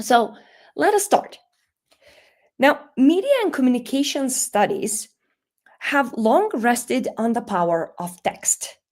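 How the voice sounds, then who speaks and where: A high-pitched woman with a Macedonian accent, very wide pitch swings, a very slow pace, and long, frequent pauses. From North Macedonia. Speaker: media and communication scholar. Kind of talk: lecture.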